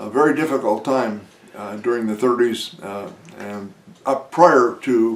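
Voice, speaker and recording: Over noticeable background noise and audible room echo, a man with an American accent talks fairly slowly at a medium pitch with ordinary pitch variation. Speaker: war veteran. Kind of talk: interview. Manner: halting, many filler words.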